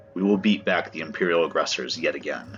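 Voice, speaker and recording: Putting on a character voice, a man with a very deep, low pitch speaks at a very fast pace over clear music in the background. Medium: read story. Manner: commanding.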